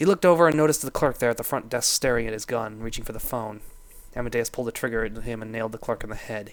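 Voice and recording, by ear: Someone is reading aloud in a natural voice. The reading is heard here.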